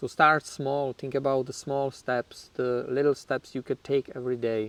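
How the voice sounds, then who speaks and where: With a Czech accent, a man talks at a medium pitch and a moderate pace. His intonation is monotone and flat, and the sound is dry and close with no echo. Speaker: YouTuber in addiction recovery. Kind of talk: personal storytelling. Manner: casual, with fillers.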